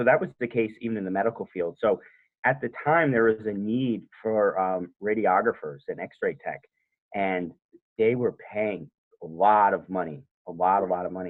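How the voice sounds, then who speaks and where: This man has a plain, everyday voice, a fairly low pitch, ordinary pitch variation and a moderate pace. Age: 30s. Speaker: home inspector. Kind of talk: interview. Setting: podcast interview.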